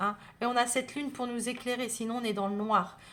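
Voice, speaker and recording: A woman's fairly high voice carries a bright, sharp tone. Her pace is moderate. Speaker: tarot reader. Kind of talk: astrology guidance video. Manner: hesitant, many fillers.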